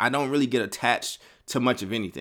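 Heard on a very clean recording with a silent background, a man speaks with an American accent. His medium-pitched voice has a bright, sharp tone and ordinary pitch variation. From Chicago, Kentucky, Oakland. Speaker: podcast host and organization founder. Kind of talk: casual solo podcast monologue. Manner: candid, conversational.

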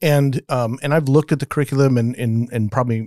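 A man with a dark, mellow tone and medium pitch speaks with fairly even intonation, the sound dry and close with no echo, in a very clean recording with a silent background. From Las Vegas, US. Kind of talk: casual discussion.

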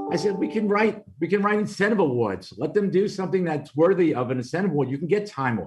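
In a Brooklyn accent, a man talks at a very fast pace with hardly any pauses, his high voice lively in intonation over music in the background. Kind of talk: interview testimony. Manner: conversational, frequent fillers.

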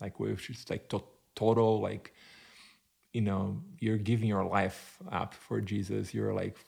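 A Portuguese accent at a fairly slow pace. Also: man. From Brazil. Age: 40s. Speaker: church planter. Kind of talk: interview conversation.

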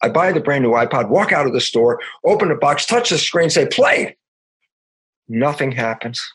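A man's fairly high voice at a moderate pace, with very wide pitch swings and long, frequent pauses. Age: 70s. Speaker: stem cell biologist and author. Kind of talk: casual interview conversation. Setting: remote interview call. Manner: upbeat, happy, energetic.

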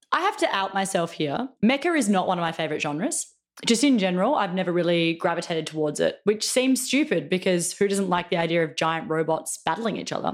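A woman talks at a fairly quick pace at a medium pitch. She has a plain, everyday voice. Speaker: podcast co-host. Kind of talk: casual chat.

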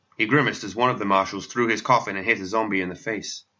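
The words come in a natural reading voice.

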